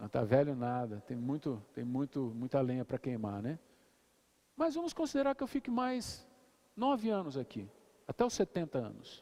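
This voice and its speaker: Moderate-paced speech from a man, very clean recording, silent background. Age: 60s. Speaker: pastor. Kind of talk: sermon.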